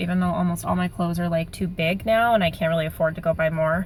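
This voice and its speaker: At a very fast pace, a woman talks in a somewhat breathy, fairly low voice with monotone, flat intonation. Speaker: vlogger sharing weight loss surgery update. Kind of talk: casual video diary.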